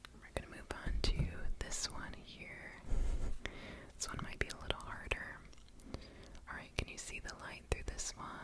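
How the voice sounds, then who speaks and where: Whispering at a moderate pace with long, frequent pauses, amid noticeable background noise. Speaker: ASMR creator. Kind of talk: ASMR personal attention roleplay. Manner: whispered, soft-spoken.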